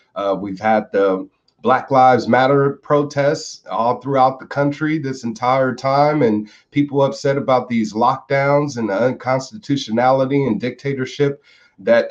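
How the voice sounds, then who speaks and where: Using an ordinary speaking voice with an American accent, a man talks at a moderate pace and a medium pitch with ordinary pitch variation. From United States. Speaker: political activist. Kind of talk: interview.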